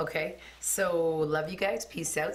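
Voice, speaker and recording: Very slowly, a woman speaks with a very deep, low pitch and ordinary pitch variation. The room echo is audible. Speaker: beauty vlogger. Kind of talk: hair color tutorial. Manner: casual, filler-heavy; loud.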